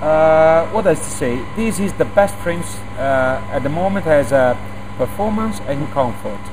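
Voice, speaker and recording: A man with a fairly high pitch speaks at a moderate pace, his intonation lively. Audible room echo and noticeable background noise fill the recording. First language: Italian. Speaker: bicycle company export manager. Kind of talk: product presentation interview. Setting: factory. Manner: halting, many fillers.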